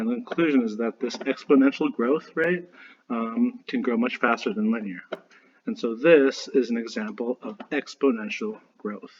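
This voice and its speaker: His pitch sits at a medium level. The man's intonation rises and falls in an ordinary way. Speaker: math teacher. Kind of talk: lecture. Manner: fast.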